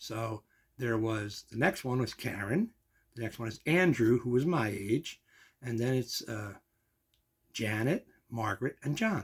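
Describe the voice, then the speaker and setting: A man with an American accent talks at a fairly slow pace and medium pitch, somewhat breathy, with ordinary pitch variation and long, frequent pauses. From New Jersey (Kearny). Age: 60s. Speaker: vlogger, amateur comedian. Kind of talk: casual vlog monologue. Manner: conversational, warm and informal.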